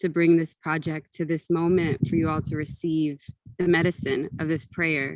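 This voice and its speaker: With a dry, close sound and no echo, a woman speaks at a moderate pace in a fairly low, monotone, flat voice. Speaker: ritual facilitator and film presenter. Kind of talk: guided ritual introduction.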